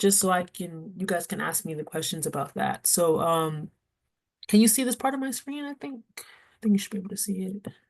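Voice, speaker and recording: A woman's somewhat breathy voice, fairly quick in pace, with lively intonation. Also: medium pitch for a woman. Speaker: nonprofit housing program presenter. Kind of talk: presentation at a community board meeting. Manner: fast; casual, with many fillers.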